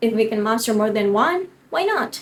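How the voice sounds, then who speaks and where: In an Indonesian accent, a woman speaks with a fairly high pitch. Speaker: university student speech contestant. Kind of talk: prepared competition speech. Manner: formal.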